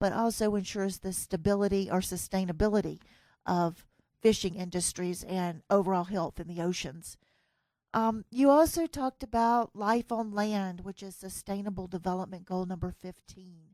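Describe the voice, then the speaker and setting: In a Southern US accent, a woman with a dark, mellow tone speaks at a moderate pace with ordinary pitch variation and big swings in loudness, in a very clean recording with a silent background and a dry, close sound with no echo. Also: medium pitch for a woman. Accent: US Southern, lasting. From US South. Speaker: podcast host. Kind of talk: interview. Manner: clear; hesitant fillers.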